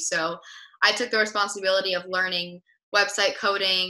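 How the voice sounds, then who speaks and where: Against a quiet background, a woman with an American accent has a medium pitch, a bright, sharp tone and fairly even intonation. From US West Coast, Los Angeles. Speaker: entrepreneur; guest. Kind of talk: interview. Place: home room. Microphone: webcam.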